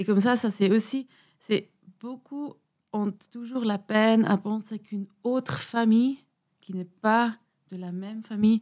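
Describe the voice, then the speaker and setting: A woman speaks fairly slowly in a fairly high voice, with fairly even intonation. Her loudness swings widely, and she takes long, frequent pauses. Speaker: podcast guest. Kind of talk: interview answer.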